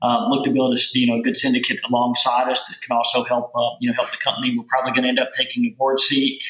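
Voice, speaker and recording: The speaker talks in a Southern US accent at a very fast pace. There is noticeable background noise. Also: man. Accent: Southern US accent, maintained. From US South, rural Kentucky. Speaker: venture capital investor. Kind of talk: podcast interview. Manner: many fillers and repetitions.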